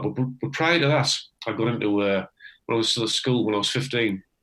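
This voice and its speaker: A man talks very fast at a medium pitch, with ordinary pitch variation. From northeast England, Teesside. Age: 60s. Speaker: retired electrician, amateur harmonica player. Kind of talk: casual interview. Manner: halting, many false starts.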